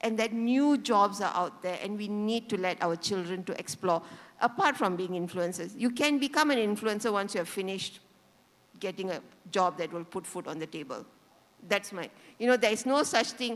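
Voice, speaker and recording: Her intonation is lively and her pitch sits in the medium range for a woman. She talks at a moderate pace. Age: 50s. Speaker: conference panelist. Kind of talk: panel discussion. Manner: animated.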